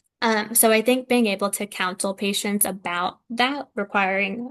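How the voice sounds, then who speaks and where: A woman speaks at a moderate pace and medium pitch with ordinary pitch variation. Hers is an ordinary speaking voice. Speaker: physician lecturer. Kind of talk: lecture Q&A.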